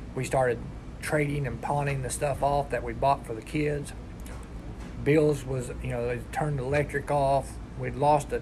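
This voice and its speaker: A man with an Appalachian accent speaks at a moderate pace with long, frequent pauses over noticeable background noise. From West Virginia. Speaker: recovery peer support specialist. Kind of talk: personal testimony.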